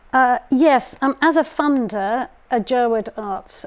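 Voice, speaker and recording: A woman's voice with ordinary pitch variation. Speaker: arts bursary programme director. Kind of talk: panel discussion. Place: stage. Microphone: lapel.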